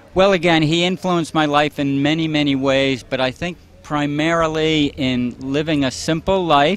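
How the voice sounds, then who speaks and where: With noticeable background noise behind him, a man speaks at a moderate pace with hardly any pauses, his fairly high voice keeping fairly even intonation. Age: 60s. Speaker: marathon runner. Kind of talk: interview.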